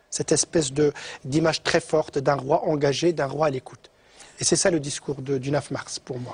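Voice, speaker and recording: Speaking at a moderate pace, a man with a fairly high, somewhat breathy voice keeps his intonation fairly even, the sound dry and close with no echo. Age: 60s. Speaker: economist and professor. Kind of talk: TV interview.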